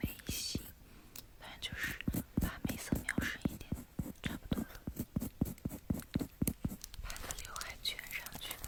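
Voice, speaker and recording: Whispered speech at a very slow pace over noticeable background noise. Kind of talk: roleplay ASMR where she plays a makeup artist talking to a customer. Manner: soft, friendly, chatty.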